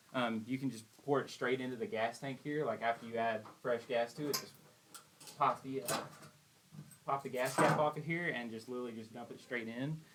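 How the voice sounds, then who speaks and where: A man with an East Texas accent speaks at a fairly quick pace and medium pitch, his intonation fairly even. He takes long, frequent pauses over noticeable background noise. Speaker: generator tech support technician. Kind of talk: tutorial. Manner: casual, conversational.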